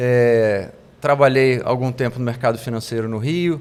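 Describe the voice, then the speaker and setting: This man speaks at a moderate speed with a medium pitch. His intonation stays fairly even. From Ceará, Brazil (Fortaleza), later Rio de Janeiro. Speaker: investment executive. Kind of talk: interview.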